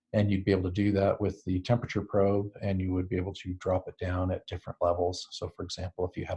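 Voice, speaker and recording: Speaking at a very fast pace with hardly any pauses, a man uses a very deep, low pitch and a dark, mellow tone that is somewhat breathy, his intonation monotone and flat over a quiet background. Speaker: STEM educator presenting a product. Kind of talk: webinar presentation. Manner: hesitant, many fillers.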